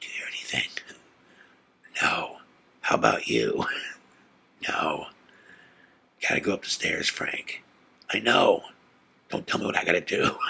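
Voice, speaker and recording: Whispering in a put-on character voice, a man sounds nervous and raspy, moving at a moderate pace broken by long, frequent pauses. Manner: hushed, nervous whispering.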